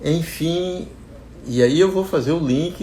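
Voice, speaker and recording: Audible echo from the room around a man talking, his pitch varying in an ordinary way. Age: 70s. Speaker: agronomist and investing channel owner. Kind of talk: personal talk to viewers. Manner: halting, many repetitions.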